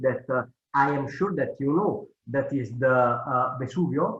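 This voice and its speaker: Speaking at a fairly slow pace, a man with an Italian accent uses a fairly high pitch and ordinary pitch variation. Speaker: cleanup organization leader. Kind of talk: presentation. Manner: halting.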